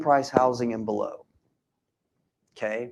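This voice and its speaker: The voice belongs to a man with a dark, mellow tone. His pitch variation is ordinary. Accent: American. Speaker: real estate investor and seminar speaker. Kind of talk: live seminar presentation.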